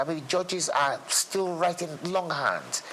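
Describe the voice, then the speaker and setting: A man talks at a high pitch with noticeable noise in the background. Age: 60s. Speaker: lawyer and former state commissioner. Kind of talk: interview. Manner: halting, with frequent repetitions.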